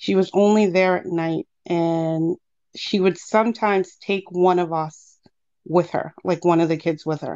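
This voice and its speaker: In an American accent, a woman speaks at a fairly slow pace with monotone, flat intonation. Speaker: caller sharing paranormal experiences. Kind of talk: personal storytelling. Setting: call-in to a livestream.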